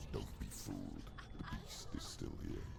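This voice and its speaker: A man uses a put-on character voice at a moderate pace. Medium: game stream. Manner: scornful, commanding.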